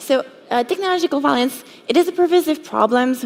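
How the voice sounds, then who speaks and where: A woman with a French accent talks at a moderate pace with lively intonation. Noticeable background noise can be heard. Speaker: cybersecurity educator. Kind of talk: conference talk.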